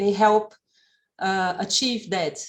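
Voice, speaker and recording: In a very clean recording with a silent background, a woman speaks with a non-native accent. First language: not English. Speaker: event participant. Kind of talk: Q&A discussion. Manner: halting.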